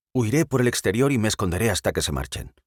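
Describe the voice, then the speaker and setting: A man's put-on character voice, growling at medium pitch, with lively intonation and a very fast pace. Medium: read story. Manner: confident, easygoing.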